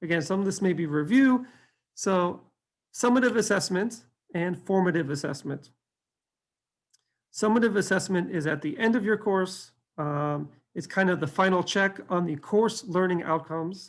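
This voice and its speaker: The speech moves at a moderate pace with long, frequent pauses, on a very clean recording with a silent background. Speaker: faculty development instructional designer. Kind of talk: lecture.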